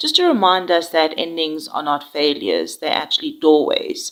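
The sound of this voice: At a moderate pace, a woman speaks in a low, nasal voice with very wide pitch swings.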